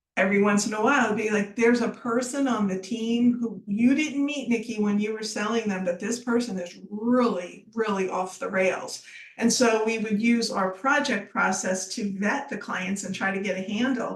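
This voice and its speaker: Over noticeable background noise and audible room echo, a woman speaks at a moderate pace with hardly any pauses. Her pitch is fairly high and her intonation fairly even. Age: 60s. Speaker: business founder. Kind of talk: podcast interview.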